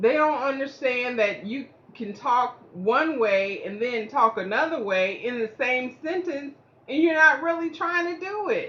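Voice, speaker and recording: A woman speaks loudly at a high pitch with very wide pitch swings. There is noticeable background noise. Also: fairly slow pace. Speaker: stroke survivor sharing motivational talk. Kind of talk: casual motivational monologue. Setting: indoors at home. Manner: halting, effortful speech; fluctuating volume, can sound snippy or loud.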